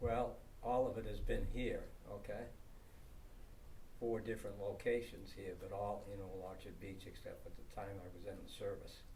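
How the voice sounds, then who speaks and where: Speaking at a moderate pace, a man leaves long, frequent pauses in a room with audible echo. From Maine, US. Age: 80s+. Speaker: town elder interviewed about local history. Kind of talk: oral history interview. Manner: halting, many fillers.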